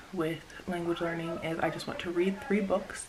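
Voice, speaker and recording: Amid noticeable background noise and audible room echo, a woman with a fairly low pitch speaks at a moderate pace. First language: Spanish. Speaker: vlogger. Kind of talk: casual chat. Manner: hesitant, many fillers.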